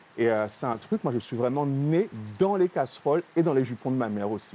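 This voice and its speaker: The tone is dark and mellow, with lively intonation at a fairly quick pace. The sound is dry and close, with no echo. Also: man. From Guadeloupe. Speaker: chef. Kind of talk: TV interview.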